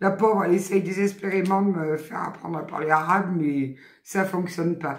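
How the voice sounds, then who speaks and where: Over noticeable background noise, a woman with a Southern French accent talks at a moderate pace, her medium-pitched voice keeping a fairly even intonation. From southern France.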